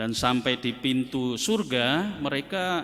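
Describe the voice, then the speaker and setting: A man's voice with very wide pitch swings. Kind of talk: sermon.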